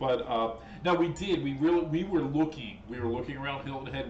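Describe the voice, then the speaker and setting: Talking fairly quickly with very wide swings in pitch, a man is heard amid noticeable background noise and audible room echo. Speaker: boating vlogger. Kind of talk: casual chat. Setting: home kitchen livestream. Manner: halting, repeats words.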